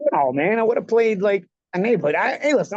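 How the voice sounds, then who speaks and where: Someone with an American accent talks very fast in a dry, close recording with no echo. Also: man. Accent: old-school Italian American New York. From New York, Bensonhurst Brooklyn. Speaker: former pro boxer, podcast host. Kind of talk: casual chat. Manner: animated.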